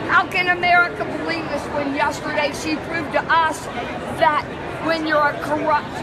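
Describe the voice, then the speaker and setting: Loud background noise accompanies a woman talking at a fairly slow pace. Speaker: convention delegate. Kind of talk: impassioned interview answer. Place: hall. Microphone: phone near.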